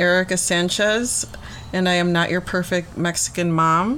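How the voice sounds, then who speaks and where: Noticeable background noise sits behind a woman's voice. She talks at a medium pitch with ordinary pitch variation. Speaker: podcast co-host. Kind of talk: casual banter.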